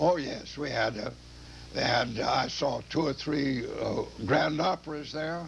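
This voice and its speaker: With noticeable background noise behind him, a man speaks fairly slowly at a fairly high pitch with ordinary pitch variation. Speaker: war veteran. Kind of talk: interview. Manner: halting.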